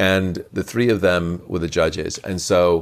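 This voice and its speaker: A man with a British accent, very deep and low in pitch, at a moderate pace, on a very clean recording with a silent background. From southern England, Portsmouth family. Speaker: actor and magician. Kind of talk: casual interview. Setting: in person at a convention.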